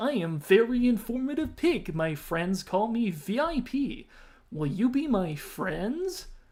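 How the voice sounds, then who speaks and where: This put-on character voice sits fairly high in pitch, moves at a fairly slow pace, and makes very wide pitch swings. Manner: cheery, eager to make friends.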